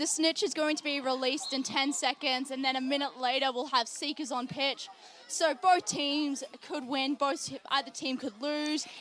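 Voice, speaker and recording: Speaking at a moderate pace in an Australian accent, a woman keeps her high pitch fairly even in intonation. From Australia, Sydney. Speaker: sports commentator. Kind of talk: live commentary.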